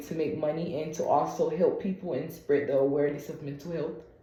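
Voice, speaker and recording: Soft-spoken, a woman talks at a very deep, low pitch amid audible room echo and noticeable background noise. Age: 20s. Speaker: patient and content creator. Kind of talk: medical appointment conversation. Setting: video call.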